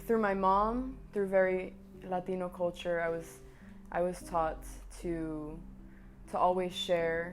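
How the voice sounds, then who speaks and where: A woman's fairly low, monotone, flat voice in an American accent, with audible room echo and music in the background. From US Northeast, Boston. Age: 20s. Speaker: performing arts student. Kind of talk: documentary interview. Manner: halting, with repeated words.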